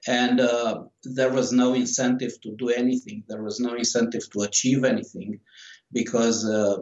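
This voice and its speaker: With a Romanian accent, a man speaks at a moderate pace. His pitch is medium and his intonation fairly even. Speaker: author. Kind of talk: interview. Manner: halting.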